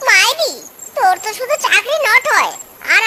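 A woman performs a cartoonish character voice at an extremely high pitch. She keeps a moderate pace over light background noise. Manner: slangy, boastful.

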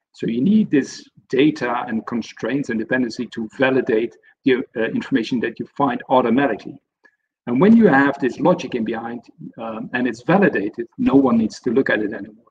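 A man with a Dutch accent at a fairly quick pace, with ordinary pitch variation and light background noise. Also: medium pitch for a man. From Netherlands. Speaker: senior software consultant; webinar presenter. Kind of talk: webinar presentation. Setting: online webinar. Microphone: video call.

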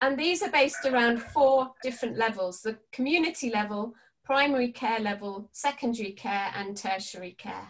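Her intonation lively, a woman talks at a moderate pace with hardly any pauses. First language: English (speaking Spanish). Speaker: palliative care educator. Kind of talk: webinar presentation. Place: home room. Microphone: webcam.

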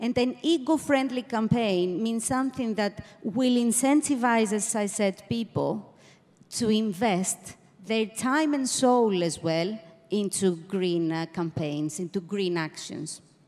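A woman speaks with lively intonation. Her pace is fairly slow. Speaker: panelist. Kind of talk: panel discussion answer. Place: stage. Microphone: handheld.

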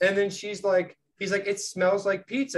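Moderate-paced speech from a man, the background quiet. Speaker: podcast co-host. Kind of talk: casual conversation, retelling a comedy sketch. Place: home room. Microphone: studio mic.

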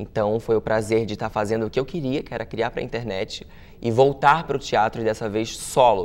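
Fairly even in intonation, a man's speech moves at a fairly quick pace. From Santa Catarina coast (Itajaí), Brazil; Santa Catarina, Brazil. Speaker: actor and comedian; actor, comedian. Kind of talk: interview. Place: studio.

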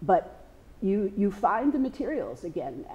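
Her voice dark and mellow with vocal fry, a woman speaks with very wide pitch swings. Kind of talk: interview answer. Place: studio.

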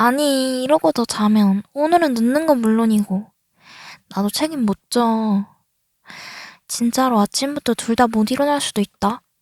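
The speech comes at a fairly slow pace, broken by long, frequent pauses. Its pitch varies in an ordinary way, and the sound is dry and close with no echo. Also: woman, fairly high pitch for a woman. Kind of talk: ASMR roleplay, girlfriend waking her boyfriend. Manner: soft-spoken, affectionate.

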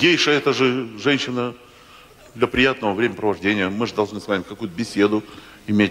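Delivered at a moderate pace, the speech carries ordinary pitch variation. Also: man. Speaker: stand-up comedian. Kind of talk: comic monologue storytelling. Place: stage. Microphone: handheld.

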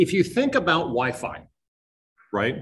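Energetic and somewhat breathy, a man speaks with lively intonation in a New England accent amid audible room echo. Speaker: network systems engineer. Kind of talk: conference talk. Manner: fast.

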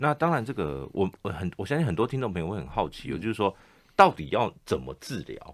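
A man with a Taiwanese accent talks at a fairly quick pace with a fairly low pitch and vocal fry. His pitch swings very widely against a quiet background. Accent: Taiwanese Mandarin. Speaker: radio host. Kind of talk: radio interview. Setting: studio. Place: studio. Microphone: studio mic.

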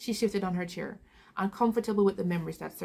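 The voice heard is an unforced reading voice.

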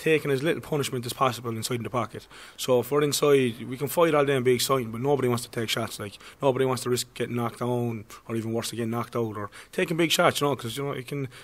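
A man talks at a very fast pace. His intonation is fairly even. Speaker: boxing coach. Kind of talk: interview answer. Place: gym. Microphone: studio mic.

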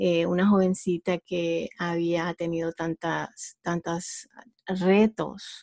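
A woman speaks in a monotone, flat intonation at a fairly low pitch and a very slow pace, the sound dry and close with no echo. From Honduras. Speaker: entrepreneur. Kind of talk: interview. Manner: halting.

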